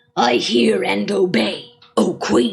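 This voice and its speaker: A put-on character voice, growling, with very wide pitch swings. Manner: growling, obedient.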